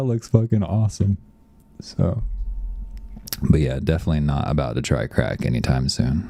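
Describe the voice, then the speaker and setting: Speaking at a moderate pace with an American accent, the voice comes over noticeable background noise. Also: man. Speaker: software developer live-streaming. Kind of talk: casual live stream chat. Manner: hesitant, many fillers.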